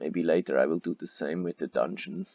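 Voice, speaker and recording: A man talks with a German accent. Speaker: gaming youtuber. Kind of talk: gameplay commentary. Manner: halting, many fillers.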